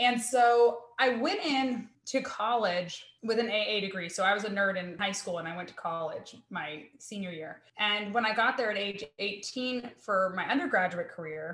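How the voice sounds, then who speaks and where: A normal speaking voice with an American accent moves at a moderate pace with hardly any pauses. Its pitch varies in an ordinary way. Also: woman. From US South. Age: 30s. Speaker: criminology professor. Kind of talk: casual chat.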